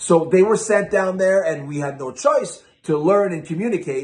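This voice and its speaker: With a Quebec accent, a man speaks at a moderate pace in very wide pitch swings, with noticeable background noise and audible room echo. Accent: French Canadian accent in English. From Quebec, Canada (Quebec City, then Toronto from age eight). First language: French. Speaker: vinyl collector YouTuber. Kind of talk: casual vlog storytelling.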